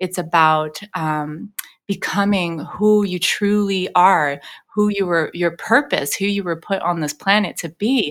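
In a very clean recording with a silent background, a woman uses a plain, everyday voice at medium pitch, with ordinary pitch variation and a fairly slow pace. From Los Angeles. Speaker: vocal coach and singer. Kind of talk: interview conversation. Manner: frequent filler words.

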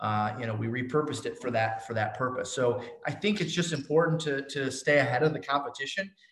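A man with a normal speaking voice, fairly high pitch and ordinary pitch variation. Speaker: real estate agent and coach. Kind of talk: interview.

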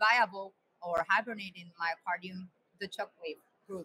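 With a Spanish accent, a woman speaks in a bright, sharp tone, the sound dry and close with no echo. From Colombia. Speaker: cardiac surgeon and editor. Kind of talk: casual conference chat. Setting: live webcast from a conference.

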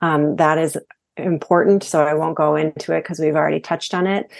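Against a quiet background, a woman with an American accent and vocal fry talks at a fairly low pitch and a moderate pace with monotone, flat intonation. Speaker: hormone coach. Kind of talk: interview.

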